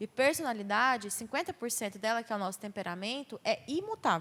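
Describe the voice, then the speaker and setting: This woman talks at a fairly quick pace with a fairly high pitch. Her intonation is lively. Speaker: speaker on mental health at church youth event. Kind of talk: talk to church youth group. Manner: loud.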